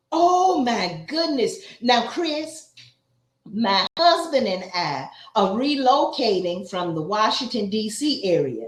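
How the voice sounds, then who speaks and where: Very slow speech in an American accent, with very wide pitch swings and audible room echo. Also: woman, fairly high pitch for a woman. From Atlanta, US South. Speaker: YouTube interviewer. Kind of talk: casual interview.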